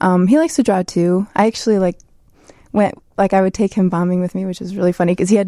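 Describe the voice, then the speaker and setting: In a Chicago accent, a woman speaks at a very fast pace with a dark, mellow tone and medium pitch. The sound is dry and close with no echo, and her intonation is fairly even. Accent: Chicago American. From Chicago, Southwest Side. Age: 20s. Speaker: graffiti artist. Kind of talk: interview.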